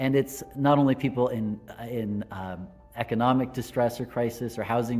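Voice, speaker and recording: With an American accent, a man speaks in a normal speaking voice at a medium pitch, moderate pace and fairly even intonation. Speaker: Lutheran pastor. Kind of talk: devotional talk to camera.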